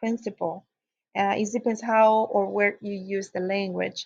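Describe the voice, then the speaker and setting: A woman speaks at a moderate pace with a fairly high pitch and a somewhat breathy sound. Her intonation is fairly even, and the background is quiet. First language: Spanish. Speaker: teacher educator. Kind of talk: lecture. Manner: hesitant with frequent fillers.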